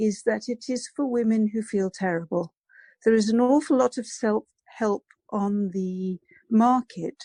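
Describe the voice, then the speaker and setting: A woman with an English accent speaks at a fairly slow pace in a fairly high, somewhat breathy voice with a dark, mellow tone. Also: dry, close sound with no echo. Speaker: psychologist and abuse recovery coach. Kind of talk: interview.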